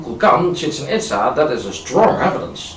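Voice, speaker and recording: Over noticeable background noise, a man speaks at a high pitch with a Dutch accent. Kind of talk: amateur video narration with screen demonstration. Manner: hesitant, casual.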